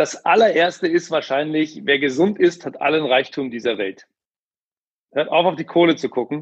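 A man speaks at a moderate pace with a fairly high pitch and ordinary pitch variation. It is an unremarkable speaking voice. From Ruhr area, Germany. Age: 30s. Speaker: sales manager and author. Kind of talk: interview conversation.

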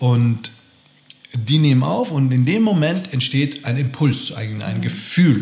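A man at a medium pitch, very slow pace and lively intonation, with audible room echo and noticeable background noise. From Austria. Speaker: actor and acting teacher. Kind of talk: casual interview.

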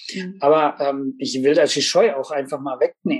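A man speaks at a moderate pace, with ordinary pitch variation. He has an ordinary speaking voice. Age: 40s. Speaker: master carpenter and expert witness. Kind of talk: podcast interview.

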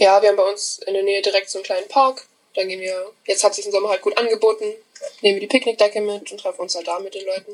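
Intonation stays fairly even while the words come out very fast. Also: woman, medium pitch for a woman. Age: 20s. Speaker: hotel apprentice. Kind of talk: casual interview.

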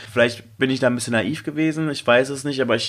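A man talks at a fairly quick pace. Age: 30s. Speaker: DJ and dating podcast host. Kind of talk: casual chat.

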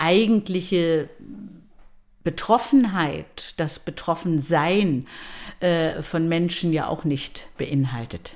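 A woman with a very deep, low pitch and ordinary pitch variation is heard on a very clean recording with a silent background. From Mecklenburg-Vorpommern, Schwerin. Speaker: opera singer and voice professor. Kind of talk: interview.

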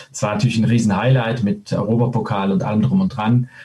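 Fairly low male speech against noticeable background noise. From Switzerland. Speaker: former handball player and coach. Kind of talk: casual interview. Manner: hesitant, many filler sounds.

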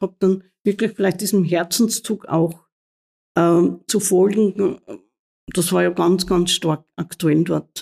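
A woman speaks at a fairly slow pace with a medium pitch. Her intonation stays fairly even. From Austria, Mühlviertel (Upper Austria). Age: 60s. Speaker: nun and head of a religious order. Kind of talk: interview. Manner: halting.

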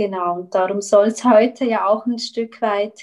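A woman with a Swiss German accent, fairly high-pitched, in a flat monotone. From Switzerland. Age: 30s. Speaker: eating disorder recovery coach. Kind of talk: interview. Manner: halting.

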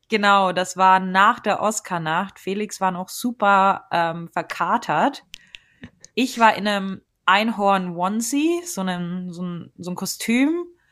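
The speaker is a woman talking very slowly. Her pitch varies in an ordinary way. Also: medium pitch for a woman. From Germany. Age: 20s. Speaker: freelance journalist. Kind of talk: interview.

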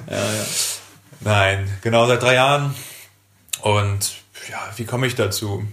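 Amid noticeable background noise and audible room echo, a man with a fairly low pitch speaks very slowly in fairly even tones, with long, frequent pauses. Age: 20s. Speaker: nursing trainee and podcast co-host. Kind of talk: casual chat.

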